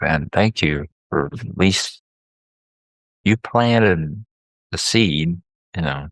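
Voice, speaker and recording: In a Southern US accent, the speaker talks at a very slow pace with long, frequent pauses and ordinary pitch variation, in a dry, close sound with no echo. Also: man, very deep, low pitch for a man. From US South. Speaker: therapist, podcast co-host. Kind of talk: casual chat.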